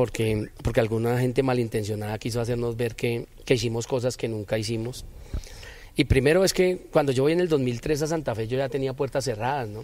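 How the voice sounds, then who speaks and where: Medium in pitch with ordinary pitch variation, a man speaks in a normal speaking voice. He moves at a fairly quick pace. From Bogotá, Colombia. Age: 40s. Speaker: former footballer and football coach. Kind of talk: interview.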